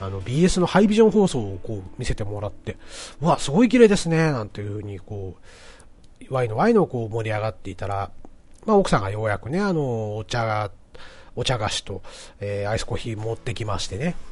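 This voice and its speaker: A man of medium pitch speaks fairly quickly with lively intonation. His voice is somewhat breathy, with big swings in loudness. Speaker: podcast host. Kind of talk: casual monologue. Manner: frequent filler words.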